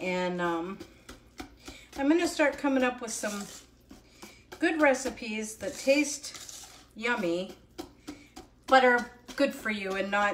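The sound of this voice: A woman's slow speech at medium pitch, fairly bright in tone, with long, frequent pauses, ordinary pitch variation and audible room echo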